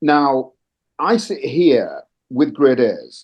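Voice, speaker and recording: Here a man is speaking. He has a slight non-native accent. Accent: little foreign accent, near-native English. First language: not English. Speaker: panelist in a parent education webinar. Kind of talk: panel discussion. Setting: live event streamed on video call. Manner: animated, emphatic.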